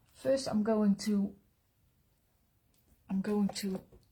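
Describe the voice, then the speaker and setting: Her Dutch accent clear, a woman talks with fairly even intonation. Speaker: pastel artist. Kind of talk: live drawing tutorial. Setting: live stream. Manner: halting, with many fillers.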